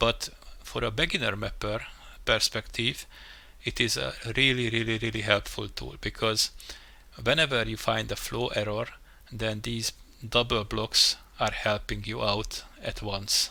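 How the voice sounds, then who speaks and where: A man with a non-native accent at a moderate pace with long, frequent pauses, in a very clean recording with a silent background. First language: not English. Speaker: game level mapper, tutorial youtuber. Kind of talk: tutorial. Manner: halting, many fillers and restarts.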